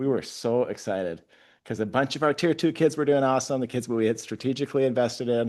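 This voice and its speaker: A man talks at a very fast pace in an animated tone over a quiet background. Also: medium pitch for a man, ordinary pitch variation. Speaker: school principal. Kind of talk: presentation to school board. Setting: board meeting.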